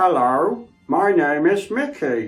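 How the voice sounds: A man puts on a character voice, pitched high with very wide swings. Faint music plays in the background.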